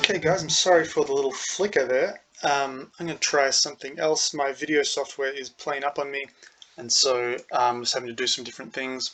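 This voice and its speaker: A man with a fairly high voice talks fairly quickly, his pitch moving in an ordinary way, as noticeable background noise plays behind him. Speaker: engineering teacher. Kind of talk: lecture. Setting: recorded video lesson.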